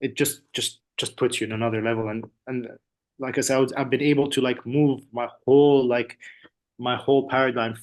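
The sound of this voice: A man talks at a fairly quick pace. His pitch moves very little.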